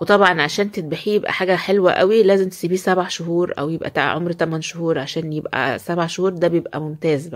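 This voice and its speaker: Against a quiet background, a woman with an Egyptian accent speaks at a fairly quick pace in a fairly low pitch, with hardly any pauses. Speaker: poultry-keeping video creator. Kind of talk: home tutorial. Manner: animated. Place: farm. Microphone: phone near.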